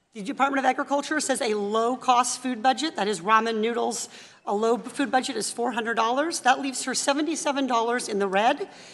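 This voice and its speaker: A woman's high voice with an American accent, very fast delivery, ordinary pitch variation and noticeable background noise. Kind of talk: pointed questioning at a hearing. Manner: forceful, rapid, persistent.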